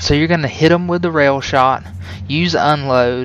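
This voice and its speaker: Noticeable background noise runs behind a man whose intonation is lively. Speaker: video game guide creator. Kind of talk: tutorial. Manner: fast; casual with many fillers.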